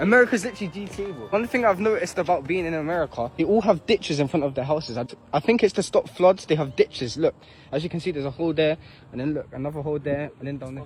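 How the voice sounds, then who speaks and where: Amid noticeable background noise, a man talks at a very fast pace with a fairly high pitch. His intonation is lively, and his loudness swings widely. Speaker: travel vlogger. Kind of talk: casual vlog.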